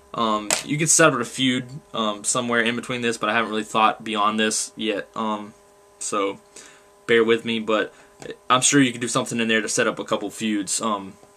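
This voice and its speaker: There is noticeable background noise behind this man. His pitch sits in the medium range and his intonation stays fairly even. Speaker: wrestling fan vlogger. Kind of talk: casual monologue. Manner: fast, gets ahead of himself; halting.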